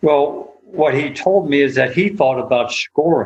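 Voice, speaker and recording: This man's voice is somewhat breathy. His pace is moderate. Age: 60s. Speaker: golf instructor. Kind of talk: casual chat.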